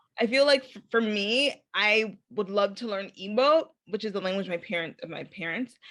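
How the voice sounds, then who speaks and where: A woman's plain, everyday voice in an American accent, fairly high-pitched with ordinary pitch variation, moderate in pace with hardly any pauses and big swings in loudness. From Chicago, US. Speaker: podcast host. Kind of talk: casual interview chat.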